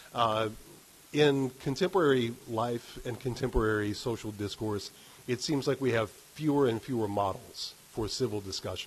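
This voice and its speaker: Moderately paced, somewhat breathy male voice of medium pitch, with an American accent and ordinary pitch variation. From West Virginia. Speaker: humanities council executive director. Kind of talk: formal welcome remarks and anecdote. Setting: live event in a university ballroom with audience.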